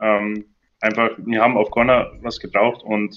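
In a monotone, flat intonation, a man holds a medium pitch. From southern Bavaria. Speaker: football fan, community member. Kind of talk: casual chat.

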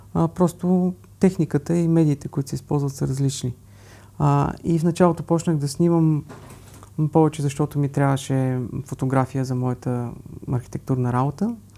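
A man with a fairly high pitch and a dark, mellow tone speaks with ordinary pitch variation. He leaves long, frequent pauses in a very clean recording with a silent background. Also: moderate pace. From Bulgaria. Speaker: architect and travel photographer. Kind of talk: interview. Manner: halting.

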